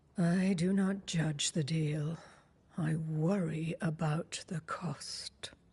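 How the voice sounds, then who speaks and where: Someone speaks in a put-on character voice at a middle pitch. The pace is very slow. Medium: video game. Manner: cryptic, knowing.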